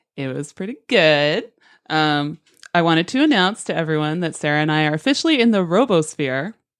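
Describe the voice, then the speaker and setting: A woman with a fairly low pitch talks at a fairly quick pace with lively intonation against a quiet background. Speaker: podcast co-host. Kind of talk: casual chat. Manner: fast; words run together.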